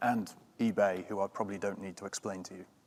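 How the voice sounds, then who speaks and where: In a British accent, a man speaks at a very fast pace. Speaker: software company executive. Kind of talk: panel discussion.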